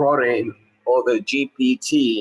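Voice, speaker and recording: A man with a medium-pitched voice and ordinary pitch variation has an ordinary speaking voice. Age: 60s. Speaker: surgeon. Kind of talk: lecture. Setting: webinar.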